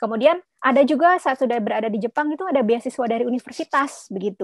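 Against a quiet background, a woman with a high pitch talks at a very fast pace with lively intonation and a dry sound with no echo. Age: 40s. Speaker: midwife and postdoctoral researcher; webinar guest. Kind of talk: webinar presentation. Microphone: video call.

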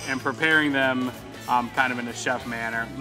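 A man talks with fairly even intonation. Clear music plays in the background. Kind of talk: interview answer. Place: cafe. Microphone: lapel.

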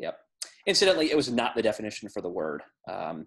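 Someone speaks with an American accent against a quiet background. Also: man. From US South. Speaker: podcast co-host. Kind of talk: casual chat. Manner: laughs often. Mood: relaxed, joking. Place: home room. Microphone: webcam.

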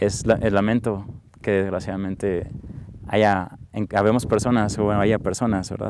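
A man talks at a moderate pace in a fairly low, flat monotone. Noticeable background noise surrounds his voice, and the sound is dry with no echo. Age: 30s. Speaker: interviewee. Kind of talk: testimony. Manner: halting. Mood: calm, reflective, warm. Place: open country.

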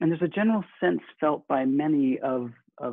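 A man at a fairly slow pace, with ordinary pitch variation, in a dry sound with no echo and a quiet background. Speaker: minister. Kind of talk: sermon. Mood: warm, earnest. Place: home room. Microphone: webcam.

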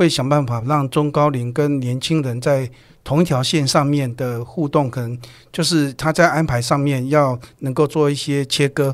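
A man with a fairly high pitch at a moderate pace, fairly even intonation, quiet background. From Taiwan. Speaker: human resources executive; guest. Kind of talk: interview. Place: studio. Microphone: studio mic.

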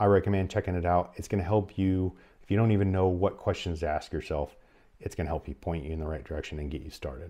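A man talks fast in a low pitch with little pitch movement and a dark, mellow tone.

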